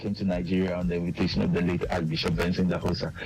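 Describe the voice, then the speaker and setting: A very fast male voice, very deep and low, with ordinary pitch variation and noticeable background noise. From Ghana. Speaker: singer-songwriter and missionary. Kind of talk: radio interview.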